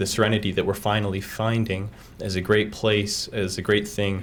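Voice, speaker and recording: In a Utah accent, a man with a fairly low voice talks at a moderate pace in a monotone, flat intonation, with audible room echo around him. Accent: Utah American. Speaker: college student, public commenter. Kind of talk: public comment.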